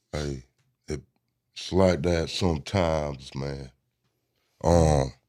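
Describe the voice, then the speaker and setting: In a Southern US accent, a man speaks at a very slow pace in a very deep, low pitch. His tone is dark and mellow, and his intonation fairly even. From US South, Georgia. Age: 20s. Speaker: musician. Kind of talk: casual chat.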